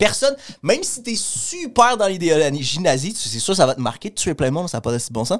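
A man with a Quebec accent talks at a fairly quick pace and high pitch, his pitch swinging very widely. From Montreal. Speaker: comedian. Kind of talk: casual chat, podcast interview.

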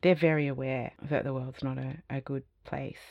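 A moderate pace in an Australian accent. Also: woman. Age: 50s. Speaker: design academic and futurist. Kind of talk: interview conversation.

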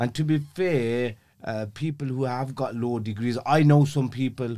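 With a Birmingham accent, a man speaks in a dark, mellow tone with ordinary pitch variation. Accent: Birmingham (Brummie) English. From Birmingham, England (Aston). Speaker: criminal defence legal professional. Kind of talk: casual interview chat.

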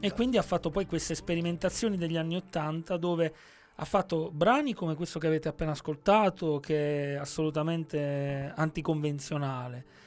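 A plain, everyday voice, a man's fairly high one, moves at a fairly quick pace with ordinary pitch variation on a very clean recording with a silent background. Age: 40s. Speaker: radio host. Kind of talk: scripted narration; casual chat. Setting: radio studio.

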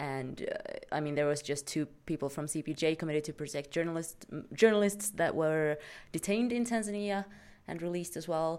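A woman with a Swedish accent talks at a fairly quick pace in a fairly low pitch. Her pitch varies in an ordinary way, and the recording is very clean with a silent background. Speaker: podcast host. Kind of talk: casual chat.

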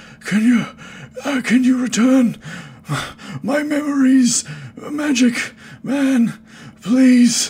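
This put-on character voice sits at a fairly high pitch. It moves at a very slow pace with long, frequent pauses. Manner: desperate, pleading.

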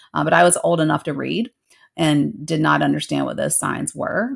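A woman talks at a moderate pace with an American accent. The recording is very clean, with a silent background. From US South. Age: 40s. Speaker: counselor and professor. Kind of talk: casual interview conversation.

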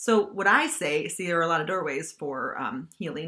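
With a bright, sharp tone and lively intonation, a woman speaks at a fairly low pitch and a moderate pace. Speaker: podcast host and life coach. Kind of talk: motivational podcast monologue. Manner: casual, with frequent fillers.

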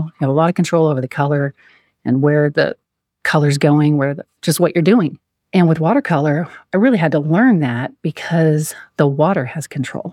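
On a very clean recording with a silent background, a soft-spoken woman with a very deep, low pitch and a dark, mellow tone talks at a fairly quick pace with ordinary pitch variation. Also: dry, close sound with no echo. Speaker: guest sharing her life story. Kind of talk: casual interview, personal storytelling.

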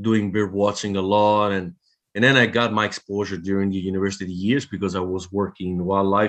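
A man's fairly low voice in an Italian accent, monotone and flat. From Italy. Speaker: veterinarian and bowhunter. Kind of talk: casual interview. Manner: halting, repetitive.

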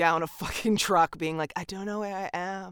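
A woman with an American accent and ordinary pitch variation, on a very clean recording with a silent background. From California. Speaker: podcast co-host and voice artist. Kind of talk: casual chat. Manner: animated.

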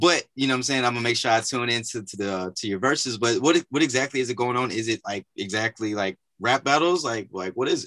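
Very fast speech with an American accent, a bright, sharp tone and a dry, close sound with no echo. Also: man, quiet background. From north Louisiana (318 area). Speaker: podcast host. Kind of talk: casual interview.

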